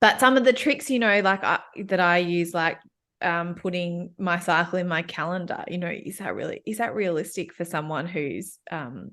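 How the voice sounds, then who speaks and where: A woman's fairly low, bright, sharp voice in an Australian accent, at a moderate pace with ordinary pitch variation and a quiet background. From Australia, Melbourne. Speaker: workplace coach. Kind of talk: casual chat.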